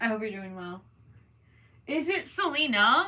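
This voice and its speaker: A woman with an American accent, fairly high-pitched, lively intonation, moderate pace, audible room echo. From Minnesota, US. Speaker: crochet livestreamer. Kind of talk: casual livestream chat. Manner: casual, hesitant with many ums.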